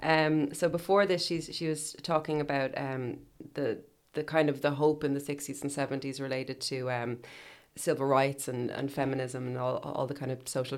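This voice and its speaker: A woman's very deep, low voice in an Irish accent, at a moderate pace with fairly even intonation. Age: 30s. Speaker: podcast host. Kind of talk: casual chat.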